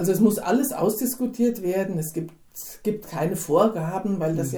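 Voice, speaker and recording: A woman with an unremarkable speaking voice talks at a moderate pace and medium pitch, her intonation lively. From Hinterland region of Hesse, Germany. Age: 60s. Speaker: church member, wife in an intercultural marriage. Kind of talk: interview.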